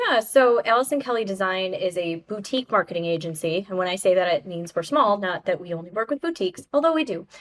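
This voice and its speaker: Talking very fast with hardly any pauses, a woman uses lively intonation. The sound is dry and close with no echo, and noticeable background noise is present. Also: medium pitch for a woman. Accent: American. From western New York (Buffalo area). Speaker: branding agency owner. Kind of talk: podcast interview.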